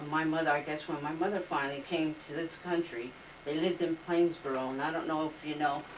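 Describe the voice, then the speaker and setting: With an American accent, a woman speaks very fast in a very deep, low pitch, monotone and flat, over noticeable background noise. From New Jersey. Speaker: oral history interviewee. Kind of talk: oral history interview. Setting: home.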